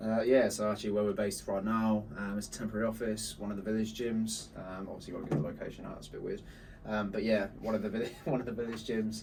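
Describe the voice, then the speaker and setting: Amid audible room echo and noticeable background noise, a man talks very fast in a fairly low pitch with fairly even intonation. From northern England, Bolton. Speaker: marketing agency co-founder. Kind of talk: casual chat.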